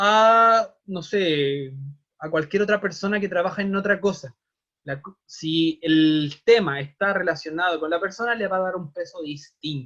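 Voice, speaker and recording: The speaker has a Chilean accent and a bright, sharp tone. Delivery is fairly slow, with ordinary pitch variation. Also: man, high pitch for a man. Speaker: teacher. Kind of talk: online class lecture. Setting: video call.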